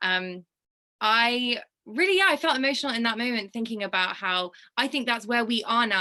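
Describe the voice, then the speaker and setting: The voice carries a bright, sharp tone. It has a British accent. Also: woman. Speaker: fashion brand co-founder. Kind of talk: casual chat. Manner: animated.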